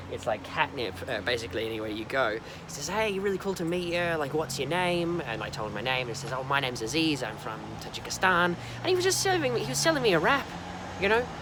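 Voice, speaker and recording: Amid noticeable background noise and audible room echo, a man with an Australian accent and a fairly high pitch speaks at a very fast pace with very wide pitch swings. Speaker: travel vlogger. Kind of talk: casual vlog monologue. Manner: conversational with many fillers.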